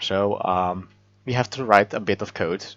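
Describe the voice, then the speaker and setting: A man speaks with a non-native accent, recorded with a dry, close sound and no echo. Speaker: software developer. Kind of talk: programming tutorial narration. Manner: hesitant, many filler words.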